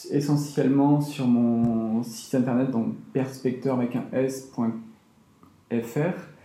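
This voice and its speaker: Long, frequent pauses break up a man's very slow, fairly even delivery. Audible room echo and noticeable background noise surround him. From France, Toulouse. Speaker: architect and designer. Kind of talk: interview. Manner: hesitant, many fillers.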